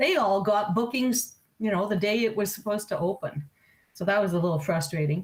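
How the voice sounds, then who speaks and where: Ordinary pitch variation in a woman's somewhat breathy voice. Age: 60s. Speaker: computer club member. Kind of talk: casual chat.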